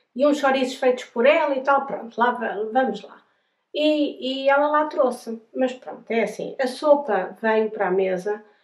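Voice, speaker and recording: A woman speaks at a high pitch and a fairly slow pace. Her loudness swings widely. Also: ordinary pitch variation. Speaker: travel vlogger, pilgrim. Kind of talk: casual storytelling to camera. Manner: hesitant, many fillers and repetitions.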